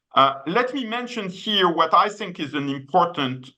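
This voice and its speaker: Very wide pitch swings and vocal fry run through a man's bright, sharp tone. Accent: French. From France. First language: French. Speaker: economist, policy researcher. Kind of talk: web seminar presentation. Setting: video call. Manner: many hesitations and fillers.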